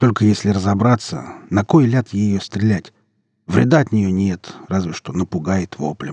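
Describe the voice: A quiet background behind plain reading aloud, pitch varying in an ordinary way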